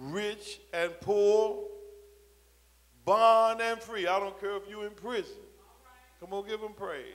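A very slow delivery with fairly even intonation and long, frequent pauses. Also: man, high pitch for a man. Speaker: preacher, bishop. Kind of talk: sermon, preaching to a congregation. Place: church. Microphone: handheld.

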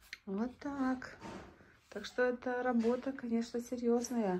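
A woman speaks at a very slow pace, her pitch fairly high and her tone dark and mellow. Light background noise sits behind her. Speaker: vlogger. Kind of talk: casual vlog narration. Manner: animated. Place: workshop. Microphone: phone near.

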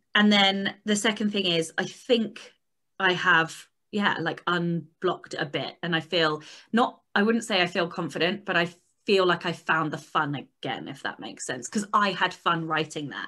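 In a British accent, the speaker uses a bright, sharp, animated tone at a moderate pace with ordinary pitch variation. The background is quiet. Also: woman, fairly low pitch for a woman. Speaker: podcast co-host for authors. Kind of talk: casual chat. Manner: animated, swears freely. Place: home room. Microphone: video call.

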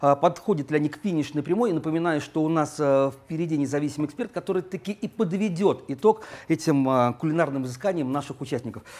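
Music plays in the background as a man talks very fast at a fairly high pitch. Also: ordinary pitch variation. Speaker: cooking show host. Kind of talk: TV cooking show hosting. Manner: animated. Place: cafe.

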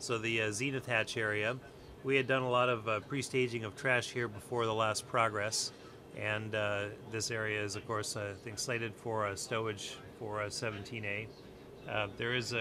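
A man talks at a moderate pace in a bright, sharp tone with flat, monotone intonation. Noticeable background noise runs underneath. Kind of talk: technical walkthrough commentary. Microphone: phone near.

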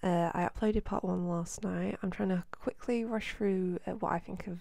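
A woman speaks quietly. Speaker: gaming video host. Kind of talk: casual gameplay commentary.

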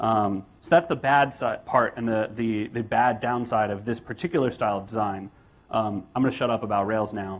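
A man with an American accent at a moderate pace and ordinary pitch variation. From United States. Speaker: software developer and conference speaker. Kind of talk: conference talk. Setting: stage with audience. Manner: casual with frequent fillers. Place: hall.

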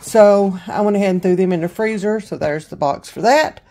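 A woman's voice with ordinary pitch variation. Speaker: home vlogger. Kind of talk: casual grocery haul chat. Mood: cheerful, pleased with deals. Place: kitchen. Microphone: phone near.

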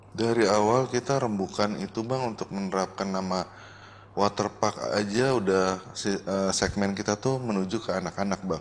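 At a moderate pace, a man with a fairly low pitch speaks with fairly even intonation. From Jakarta; Indonesia. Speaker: waterpark owner and entrepreneur; guest. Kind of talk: casual interview. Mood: relaxed casual chat. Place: studio. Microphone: studio mic.

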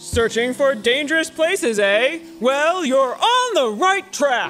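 Over clear music in the background, a man uses a put-on character voice at an extremely high pitch and a fairly slow pace. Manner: boastful, gruff.

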